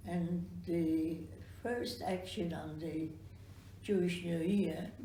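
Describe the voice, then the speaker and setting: Against noticeable background noise, a woman speaks at a very slow pace. Her pitch is fairly low. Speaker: Holocaust survivor. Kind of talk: interview answer.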